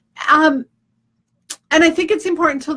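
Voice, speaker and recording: A woman projects a raised voice with a bright, sharp tone. She talks at a fairly quick pace with ordinary pitch variation. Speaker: leadership coach. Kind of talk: casual talk to camera. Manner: fast.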